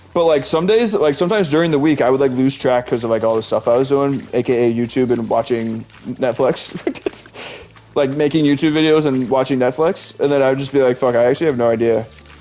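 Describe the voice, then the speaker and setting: A man with an American accent talks very fast at a medium pitch, with ordinary pitch variation, very even loudness and noticeable background noise. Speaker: video game streamer. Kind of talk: casual chat. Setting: live stream.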